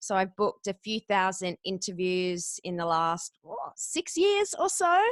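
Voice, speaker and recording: A woman speaks in an Australian accent with an energetic tone. The sound is dry and close, without echo. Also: fairly slow pace. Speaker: podcast guest booker and former radio announcer. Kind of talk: interview.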